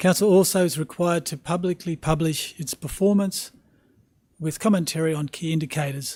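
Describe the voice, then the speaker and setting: A man with a fairly high pitch talks at a fairly quick pace, his intonation fairly even. The sound is dry and close, with no echo. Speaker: council staff presenter. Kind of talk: formal report presentation. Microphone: microphone moved close.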